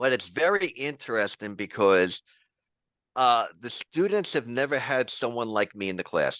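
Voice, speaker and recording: Recorded dry and close with no echo against a quiet background, a man in a New York accent speaks with a bright, sharp tone and very wide pitch swings. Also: medium pitch for a man, moderate pace. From New York City, the Bronx. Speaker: professor. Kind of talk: interview.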